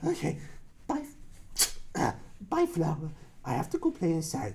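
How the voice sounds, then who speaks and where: The speaker puts on a cartoonish character voice. Clear background noise can be heard. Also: moderate pace. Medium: puppet. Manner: hesitant, slow.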